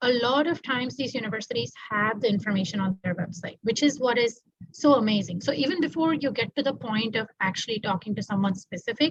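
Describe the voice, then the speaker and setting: Fairly quick, somewhat breathy speech from a woman with lively intonation. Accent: Tamil. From India, Mumbai. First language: Tamil. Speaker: doctoral student. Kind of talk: interview.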